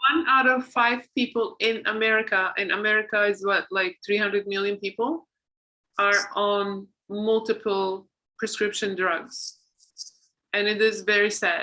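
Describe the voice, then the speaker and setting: Speaking with a non-native accent, a woman has a bright, sharp tone, medium pitch, fairly even intonation, a fairly slow pace and very even loudness. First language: not English. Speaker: podcast host and author. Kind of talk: casual interview chat.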